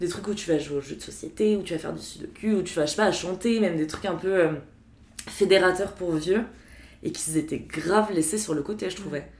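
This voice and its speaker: A woman talks fairly quickly at a medium pitch with ordinary pitch variation. She has a normal speaking voice. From Paris, France. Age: 20s. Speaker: HR worker. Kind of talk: casual chat.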